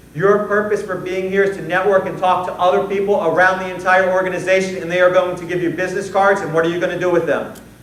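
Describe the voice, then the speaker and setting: Amid noticeable background noise and audible room echo, a man with a high pitch talks at a very fast pace with hardly any pauses. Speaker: conference keynote speaker on sales. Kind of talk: conference presentation. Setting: stage with audience. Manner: animated.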